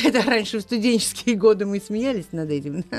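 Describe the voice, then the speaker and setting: A woman's medium-pitched voice at a moderate pace with ordinary pitch variation, over noticeable background noise. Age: old. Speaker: obstetrician-gynecologist. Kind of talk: radio interview.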